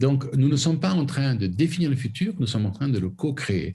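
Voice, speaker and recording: A somewhat breathy quality runs through the man's dark, mellow tone. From southern France (Camargue). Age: 60s. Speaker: foundation president and conservationist. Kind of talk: interview. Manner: halting, many repetitions.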